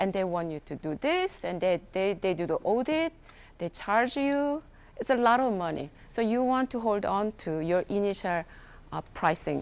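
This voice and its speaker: A woman speaks with a non-native accent at a fairly slow pace. Her pitch swings very widely. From South Korea. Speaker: chef and food entrepreneur. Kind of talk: workshop talk. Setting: workshop with audience. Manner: halting.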